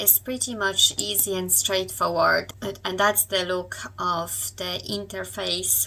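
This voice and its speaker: A woman talks at a fairly slow pace, and background noise is noticeable. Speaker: online business youtuber. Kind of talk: tutorial. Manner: hesitant, with fillers.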